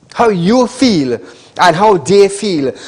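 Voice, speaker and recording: A man's high voice in a Trinidadian accent. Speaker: TV call-in show host. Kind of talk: live call-in TV show.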